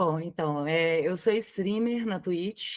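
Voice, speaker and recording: In a very clean recording with a silent background, a woman with a slight mineiro accent speaks at a fairly low pitch and a very slow pace. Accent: mild Minas Gerais (mineiro). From Brazil, Minas Gerais (Belo Horizonte). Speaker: streamer. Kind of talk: interview.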